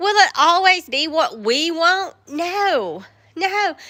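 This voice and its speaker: In a Southern US accent, a woman speaks at a very slow pace in a raised, projected voice, her extremely high pitch paired with a bright, sharp tone and lively intonation. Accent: Southern US, country. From US South, West Georgia. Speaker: live streamer, faith talk. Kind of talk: casual live stream, devotional talk. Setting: outdoors in the woods, live stream.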